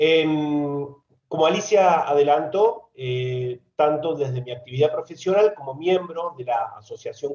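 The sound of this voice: A man at medium pitch, slightly mellow in tone, at a moderate pace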